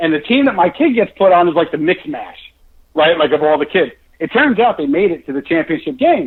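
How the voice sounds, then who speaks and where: Loud and animated, a man with a high-pitched voice talks at a fairly quick pace with lively intonation. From New York, US. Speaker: author. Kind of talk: casual chat.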